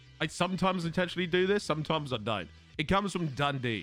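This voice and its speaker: Over music in the background, a man speaks with an Australian accent. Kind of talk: casual.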